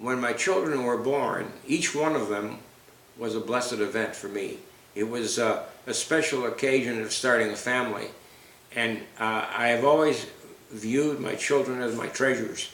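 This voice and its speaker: Room echo and noticeable background noise surround a man talking at a moderate pace with ordinary pitch variation. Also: medium pitch for a man. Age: 80s+. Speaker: retired attorney, father interviewed by daughter. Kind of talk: family oral history interview. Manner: halting, with frequent repetitions.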